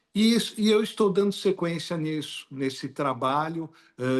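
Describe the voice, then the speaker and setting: Moderate pace, ordinary pitch variation, and a quiet background. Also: man. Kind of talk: interview.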